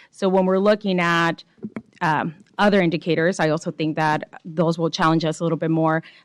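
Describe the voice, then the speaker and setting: This woman talks at a fairly quick clip in a fairly low voice, her intonation flat and monotone. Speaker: state education board member. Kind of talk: public board meeting discussion. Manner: passionate tone.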